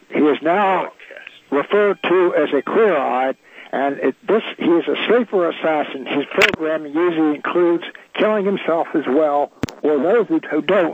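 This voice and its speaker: Noticeable background noise sits behind a man with a fairly high pitch and ordinary pitch variation. He keeps a moderate pace with very even loudness. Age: 80s+. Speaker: guest, activist. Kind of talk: radio interview.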